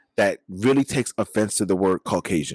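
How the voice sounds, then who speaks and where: A man speaks with a New York accent at a fairly low pitch and ordinary pitch variation. The sound is dry and close with no echo, on a very clean recording with a silent background. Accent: New York City. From Flatbush, Brooklyn, New York. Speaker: podcast host. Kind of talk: casual chat.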